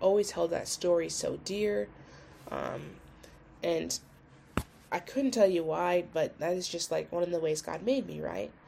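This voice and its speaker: A woman talks at a moderate pace while background noise remains noticeable. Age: 20s. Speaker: solo podcaster in addiction recovery. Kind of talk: casual personal monologue. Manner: rambling, hesitant with many fillers.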